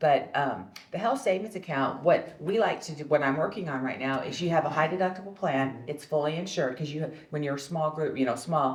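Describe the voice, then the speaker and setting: Amid noticeable background noise and audible room echo, a woman speaks at a fairly quick pace in a very deep, low voice with ordinary pitch variation. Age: 60s. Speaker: nurse turned health benefits executive. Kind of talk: panel discussion. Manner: conversational, with frequent fillers.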